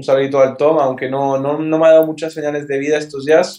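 This man has an unremarkable speaking voice at a fairly high pitch. He talks fairly quickly with fairly even intonation. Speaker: podcast co-host. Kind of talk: casual chat. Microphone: connection keeps cutting out.

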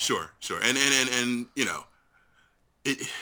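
The recording is very clean with a silent background. A man speaks at medium pitch in a bright, sharp tone with vocal fry. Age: 30s. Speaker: YouTube video maker. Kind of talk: casual chat. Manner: halting.

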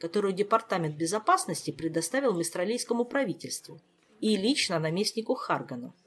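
It is plain reading aloud. The intonation is lively.

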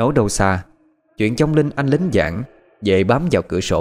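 In a natural reading voice with lively intonation, the speaker reads against a quiet background.

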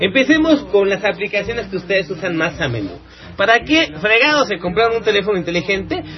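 Over noticeable background noise, a man talks very fast in a high voice with lively intonation. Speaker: internet radio host. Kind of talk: casual live radio talk. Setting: live internet radio studio.

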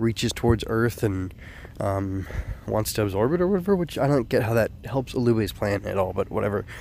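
A plain, everyday voice speaks at a fairly quick pace. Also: man. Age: 30s. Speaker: anime podcaster. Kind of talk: solo commentary podcast. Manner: casual with many fillers.

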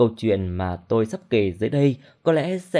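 Natural-voiced reading aloud.

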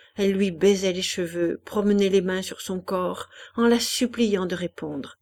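The intonation holds fairly even. The clip is reading aloud in a natural voice.

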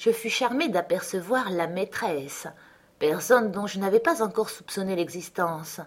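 This is an unforced reading voice. It is delivered as an unforced reading voice throughout.

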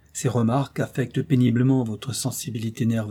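Natural-voiced reading aloud.

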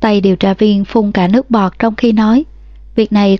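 Plain reading aloud with fairly even intonation

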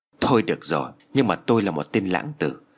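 The reading here comes in an unforced voice.

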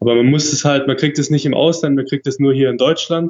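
Fairly quick pace, monotone and flat intonation, a man speaking. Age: 20s. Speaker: world traveler. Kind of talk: casual interview.

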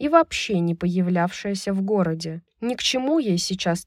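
Someone is reading aloud in a natural voice with lively intonation over a quiet background.

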